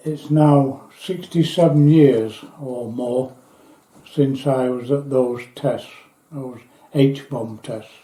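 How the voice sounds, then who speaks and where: In a Yorkshire accent, the speaker talks at a very slow pace with fairly even intonation. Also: man, fairly high pitch for a man. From northern England, Yorkshire near Doncaster. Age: 80s+. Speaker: war veteran. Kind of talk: testimony.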